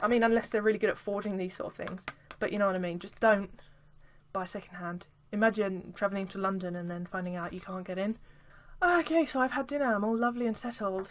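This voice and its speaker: This woman has an English accent and a medium pitch. She talks at a very fast pace with ordinary pitch variation. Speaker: vlogger. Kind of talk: casual vlog. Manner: animated.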